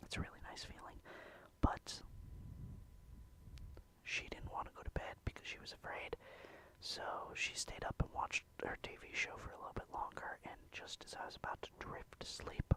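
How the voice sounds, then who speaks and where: A man whispering at a moderate pace, with long, frequent pauses and big swings in loudness. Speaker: ASMR creator. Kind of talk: ASMR casual talk. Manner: whispered.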